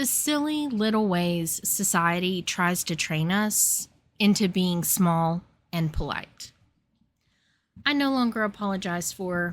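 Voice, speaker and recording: A woman speaks at a medium pitch, leaving long, frequent pauses. The recording is very clean, with a silent background. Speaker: podcaster. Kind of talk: comedic rant monologue. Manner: animated.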